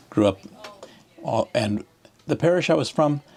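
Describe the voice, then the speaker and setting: A man speaks at a fairly quick pace with a lively intonation and an American accent, over noticeable background noise. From US Midwest, Omaha, Nebraska. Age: 70s. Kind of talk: oral history interview. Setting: church. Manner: halting.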